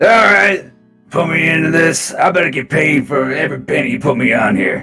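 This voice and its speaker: Using a put-on character voice, a raspy man speaks at a moderate pace and fairly high pitch, with faint music in the background. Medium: actual play. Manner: folksy.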